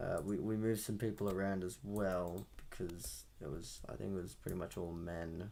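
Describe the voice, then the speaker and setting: A moderate pace with hardly any pauses. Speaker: audio engineer streaming a mixing session. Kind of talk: live-stream tutorial. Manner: loud; casual, halting.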